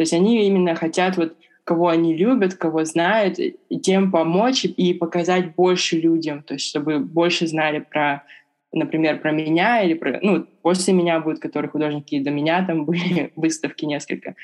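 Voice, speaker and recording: A fairly low-pitched woman talks at a moderate pace. Her pitch varies in an ordinary way. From Siberia, Russia (Irkutsk). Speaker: illustrator. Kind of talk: interview. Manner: hesitant, many fillers.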